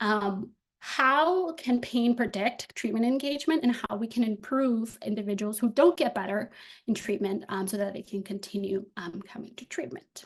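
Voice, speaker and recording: With lively intonation, a woman speaks in a somewhat breathy voice at a fairly high pitch. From Dominican Republic, Santiago. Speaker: graduate student researcher. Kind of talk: academic presentation. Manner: fast; hesitant, many fillers.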